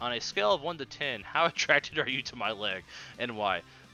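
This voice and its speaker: A man with an American accent speaks at a medium pitch with lively intonation. Music plays in the background. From Texas, Dallas. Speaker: podcast host. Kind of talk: casual Q&A podcast. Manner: casual, many filler words.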